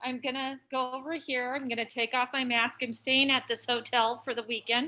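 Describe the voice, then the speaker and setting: This woman's voice is high-pitched with a bright, sharp tone and a monotone, flat intonation. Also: moderate pace. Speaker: stand-up comedian. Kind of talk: stand-up. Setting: hotel room, video call. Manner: stutter.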